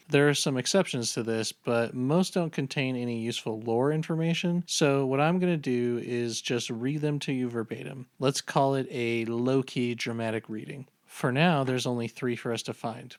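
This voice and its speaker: A man talks in an ordinary speaking voice at medium pitch. He keeps a moderate pace with hardly any pauses and ordinary pitch variation. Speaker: video essayist. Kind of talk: video game lore narration.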